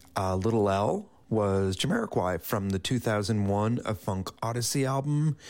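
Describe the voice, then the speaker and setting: A man with an ordinary speaking voice talks at a fairly slow pace and fairly low pitch. His pitch varies in an ordinary way, with hardly any pauses. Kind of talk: radio DJ patter: station ID, song backannouncing, sign-off. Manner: relaxed, friendly, plainly conversational with a warm welcoming tone; measured and unhurried, with some filler 'uh' pauses.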